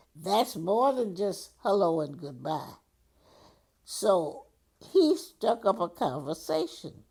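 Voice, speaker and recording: A woman speaks very slowly at a medium pitch, with a dark, mellow tone and very wide pitch swings. Her pauses are long and frequent, and the recording is very clean with a silent background. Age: 80s+. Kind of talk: storytelling conversation.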